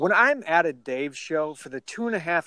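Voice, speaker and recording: A man with an American accent at a fairly slow pace, ordinary pitch variation, and a dry, close sound with no echo. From Minnesota. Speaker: podcast co-host. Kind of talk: casual chat. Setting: phone call. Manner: animated.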